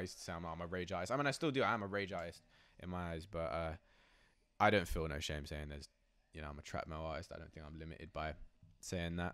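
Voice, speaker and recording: On a very clean recording with a silent background, a man with a southern English accent and a very deep, low pitch talks at a very fast pace. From southern England, Oxfordshire. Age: 20s. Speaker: trap metal rapper. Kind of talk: casual interview. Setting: in person, New York. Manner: casual, filler-heavy.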